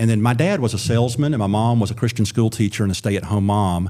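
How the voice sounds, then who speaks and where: On a very clean recording with a silent background, a man with an Alabama accent speaks at a fairly low pitch in a dark, mellow tone with fairly even intonation. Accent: Alabama Southern US. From Alabama, US South (Wiregrass, Birmingham area). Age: 40s. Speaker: former state supreme court justice, political candidate. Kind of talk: podcast interview.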